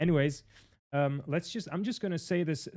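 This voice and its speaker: With a Dutch accent, a man talks at a fairly quick pace with ordinary pitch variation against a quiet background. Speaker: podcast host. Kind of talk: casual chat. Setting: video call. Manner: halting.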